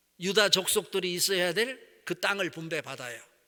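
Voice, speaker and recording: A raised, projected voice with a bright, sharp tone and ordinary pitch variation, on a very clean recording with a silent background. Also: man. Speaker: pastor. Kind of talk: sermon.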